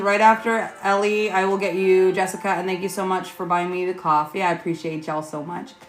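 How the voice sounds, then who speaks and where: Music plays in the background and audible room echo surrounds a woman speaking at a fairly quick pace in a medium pitch, with ordinary pitch variation and hardly any pauses. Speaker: tarot reader. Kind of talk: live stream chat. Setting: livestream at home. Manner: loud.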